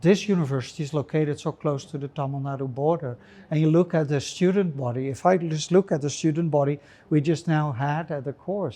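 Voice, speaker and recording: With a Dutch accent, a man talks at a moderate pace in a fairly high pitch, his tone dark and mellow, with ordinary pitch variation over a quiet background. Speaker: urban anthropologist. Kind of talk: interview conversation. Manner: hesitant with fillers.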